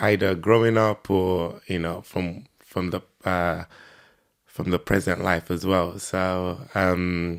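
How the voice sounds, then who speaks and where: A man's very deep, low voice with a Nigerian accent, flat and monotone at a very slow pace, on a very clean recording with a silent background. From Nigeria, Lagos. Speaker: podcast guest, entrepreneur. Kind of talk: interview. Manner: hesitant, many fillers.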